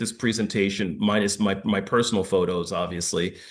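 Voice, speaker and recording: With an American accent, a man speaks at a fairly low pitch and a fairly quick pace, his intonation fairly even, in audible room echo. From New York. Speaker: former firefighter and public health expert. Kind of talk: lecture. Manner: fast.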